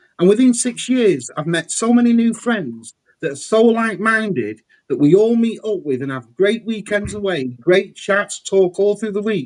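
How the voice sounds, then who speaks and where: A man's high voice in an English accent, with lively intonation at a moderate pace. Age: 40s. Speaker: toy collector. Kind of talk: casual chat.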